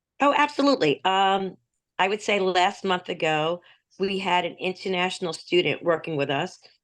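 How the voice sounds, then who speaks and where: Lively intonation from a woman, with a quiet background. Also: medium pitch for a woman, moderate pace. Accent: New Jersey. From US, New Jersey. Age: 60s. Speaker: native speaker guest. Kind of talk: casual chat. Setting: video call.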